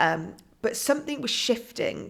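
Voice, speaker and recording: A woman talks with a British accent. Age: 40s. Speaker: author and coach. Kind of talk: podcast interview.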